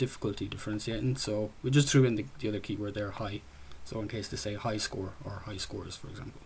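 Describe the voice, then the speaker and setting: In an Irish accent, a man talks at a fairly quick pace in a somewhat breathy, fairly low voice with fairly even intonation. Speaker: student developer presenting a game project. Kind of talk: software project demo presentation. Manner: casual, with frequent fillers.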